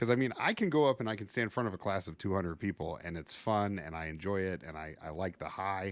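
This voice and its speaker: Loud and at a fairly quick pace, a man speaks in a very clean recording with a silent background. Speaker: fire service instructor and podcast host. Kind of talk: casual podcast interview. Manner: loud, boisterous.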